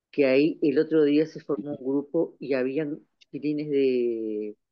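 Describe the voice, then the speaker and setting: This man's voice sits fairly high, and its pitch shifts in an ordinary way. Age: 60s. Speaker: community participant. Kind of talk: audience comment. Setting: video call.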